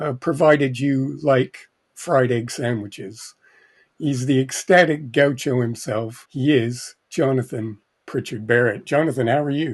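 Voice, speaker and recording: A man speaks at a fairly slow pace with a British accent. The background is quiet. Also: medium pitch for a man, ordinary pitch variation. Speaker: podcast host. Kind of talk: casual chat.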